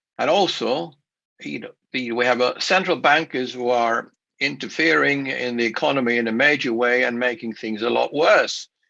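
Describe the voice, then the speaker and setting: Speaking with a Swedish accent, a man at medium pitch has a bright, sharp tone and ordinary pitch variation. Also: moderate pace. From Sweden. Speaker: investment speaker. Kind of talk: conference presentation. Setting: remote recorded talk for a virtual show. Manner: halting, many fillers and restarts.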